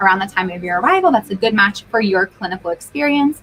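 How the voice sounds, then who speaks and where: Amid noticeable background noise, a woman with a fairly high pitch talks at a very fast pace in an animated tone with lively intonation. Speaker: recruitment agency presenter. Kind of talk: live-streamed info session.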